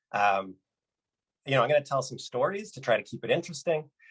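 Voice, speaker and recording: A man with a Canadian accent talks at a fairly quick pace in a somewhat breathy voice. The sound is dry and close with no echo. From Canada, British Columbia. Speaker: motivational speaker. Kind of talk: keynote talk. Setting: virtual conference.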